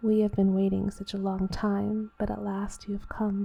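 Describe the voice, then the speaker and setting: Soft-spoken and medium in pitch, a woman talks at a fairly slow pace. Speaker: ASMR creator. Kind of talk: reading game text aloud.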